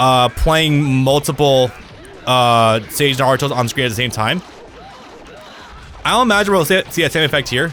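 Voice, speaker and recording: Music plays in the background as a man speaks with long, frequent pauses. His voice is medium-pitched, with ordinary pitch variation and very even loudness. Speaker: gaming streamer. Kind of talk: live gameplay commentary. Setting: live stream. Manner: fast.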